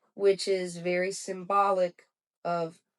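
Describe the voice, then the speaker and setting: The voice is delivered in a flat monotone. The sound is dry and close, with no echo. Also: woman. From Cuban-American background. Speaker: author and spiritual teacher. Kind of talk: podcast interview.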